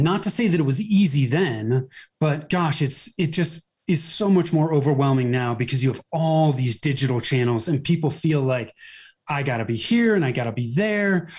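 With an American accent, the voice is somewhat breathy, using lively intonation at a moderate pace on a very clean recording with a silent background. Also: man, fairly high pitch for a man. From US, Northern California (Bay Area). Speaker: marketing agency owner. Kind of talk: interview.

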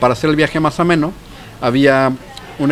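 A man's fairly high-pitched voice with ordinary pitch variation, against crowd noise in the background. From Mexico City. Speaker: physicist and cancer researcher. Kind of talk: casual chat. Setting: pub.

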